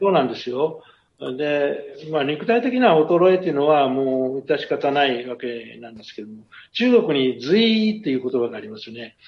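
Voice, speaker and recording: The speech moves at a moderate pace. Pitch swings very widely and loudness rises and falls in big swings. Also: man, fairly high pitch for a man. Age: 70s. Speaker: company executive. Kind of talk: radio interview. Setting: remote connection. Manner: formal.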